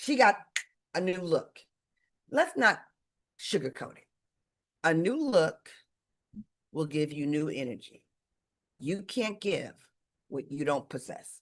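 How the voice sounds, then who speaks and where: Loud and fairly low-pitched, a woman with an American accent speaks at a fairly slow pace. Her pitch swings very widely, and she leaves long, frequent pauses. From Detroit, Michigan. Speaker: sales leadership coach. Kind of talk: live webinar coaching talk. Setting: livestream video call. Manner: energetic.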